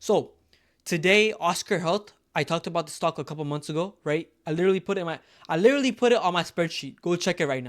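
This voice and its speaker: A man with a high-pitched voice and ordinary pitch variation talks at a very fast pace. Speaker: stock market YouTuber. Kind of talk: casual talk-to-camera commentary. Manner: filler-heavy, self-correcting.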